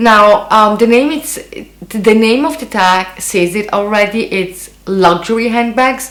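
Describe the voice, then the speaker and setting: At a very slow pace, a woman with a non-native accent speaks at a fairly high pitch with ordinary pitch variation. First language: not English. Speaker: beauty and fashion YouTuber. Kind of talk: casual vlog. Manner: hesitant, many fillers.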